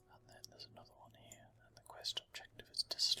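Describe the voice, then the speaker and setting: A man is whispering at a moderate pace. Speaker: ASMR gaming channel host. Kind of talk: casual gaming commentary / walkthrough. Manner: soft-spoken, whispered.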